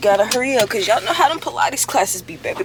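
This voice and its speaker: Over noticeable background noise, a woman talks at a very fast pace with a high pitch and lively intonation. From Louisiana. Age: 20s. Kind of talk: casual vlog talk to camera.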